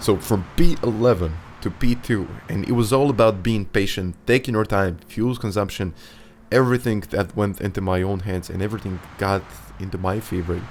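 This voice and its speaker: Speaking at a moderate pace, a man with a non-native accent uses a fairly low pitch. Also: ordinary pitch variation. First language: not English. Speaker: sim racing YouTuber. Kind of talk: race commentary narration. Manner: animated.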